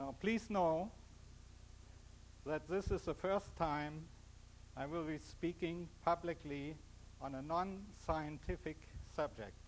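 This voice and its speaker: With a strong German accent, a man talks at a very slow pace in a fairly high pitch, leaving long, frequent pauses. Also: ordinary pitch variation. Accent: heavy German. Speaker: physicist and author giving a talk. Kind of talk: public lecture. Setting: stage with audience.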